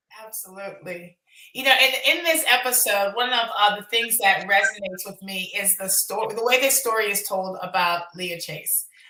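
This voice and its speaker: A woman's medium-pitched voice at a moderate pace, with ordinary pitch variation, big swings in loudness and noticeable background noise. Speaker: documentary producer and event host. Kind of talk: panel discussion at screening event. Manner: halting, many fillers.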